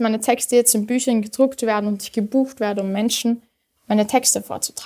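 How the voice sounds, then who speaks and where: A woman speaks at a fairly quick pace with a dark, mellow tone. Her pitch is fairly high and her intonation fairly even. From Austria, Vienna (Simmering). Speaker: poetry slammer. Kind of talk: poetry slam performance.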